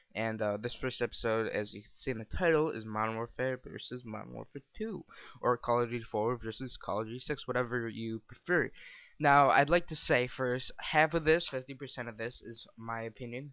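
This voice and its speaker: A man in a normal speaking voice talks fairly quickly at medium pitch, with ordinary pitch variation and big swings in loudness. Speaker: gaming video commentator. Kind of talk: scripted commentary read from a script.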